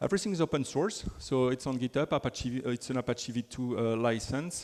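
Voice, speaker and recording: A man with a French accent, medium pitch, lively intonation and a fairly quick pace. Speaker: software developer advocate. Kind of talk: conference talk.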